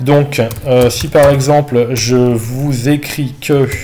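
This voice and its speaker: This is a man's voice. His pitch sits fairly high. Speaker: math teacher. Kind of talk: online tutorial session correcting exercises. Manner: hesitant, many fillers.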